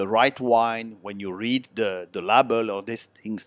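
With an Italian accent, a man at medium pitch talks at a fairly slow pace. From Switzerland, Italian parents from southern Italy. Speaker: long-term expat interviewee. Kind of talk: casual interview.

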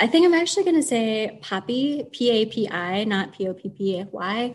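Somewhat breathy, a woman speaks in a fairly high pitch against a quiet background. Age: 40s. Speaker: library manager. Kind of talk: casual chat.

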